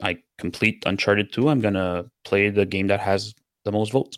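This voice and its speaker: In a French Canadian accent, a man talks at a fairly quick pace with ordinary pitch variation on a very clean recording with a silent background. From Quebec. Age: 40s. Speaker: community member and streamer.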